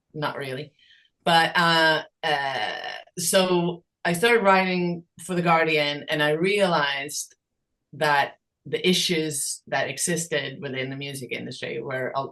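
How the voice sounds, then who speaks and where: Her voice very deep and low yet bright and sharp in tone, a woman talks at a fairly slow pace. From Sweden. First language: Swedish. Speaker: songwriter and creators' rights advocate. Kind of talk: podcast interview. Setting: podcast. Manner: hesitant, many fillers.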